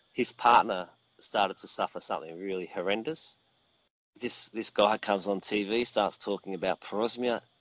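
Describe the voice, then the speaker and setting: On a very clean recording with a silent background, a man speaks in an Australian accent at a fairly low pitch. His pace is moderate and his pitch variation ordinary, with a dry, close sound and no echo. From Australia (Victoria). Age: 40s. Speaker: mead maker. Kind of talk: interview. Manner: halting, many fillers and repetitions.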